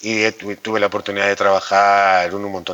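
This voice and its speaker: With a Canarian accent, a man speaks at a very deep, low pitch. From Canary Islands. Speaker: journalist and political communication consultant. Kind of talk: interview conversation. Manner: halting, with self-corrections.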